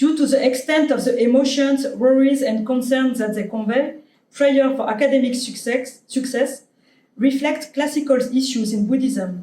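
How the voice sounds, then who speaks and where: A woman speaks in a French accent at a high pitch, moderately paced and fairly even in intonation. Audible room echo surrounds her voice. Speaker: anthropologist, invited lecturer. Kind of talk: academic lecture; reading conclusion from slide. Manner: halting, many fillers.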